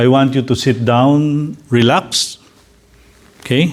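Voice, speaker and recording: Talking at a very slow pace, a man with a medium pitch speaks with a Filipino accent. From Philippines. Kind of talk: talk with guided reflection.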